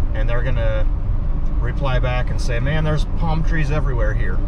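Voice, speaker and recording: Loud background noise fills the clip as a man speaks at a fairly quick pace. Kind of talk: casual vlog commentary. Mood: relaxed, mildly wry. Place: car. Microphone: phone near.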